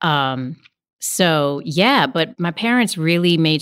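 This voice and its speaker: An American-accented woman's voice, very clean recording, silent background. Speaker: actor and voiceover artist. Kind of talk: casual chat. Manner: animated.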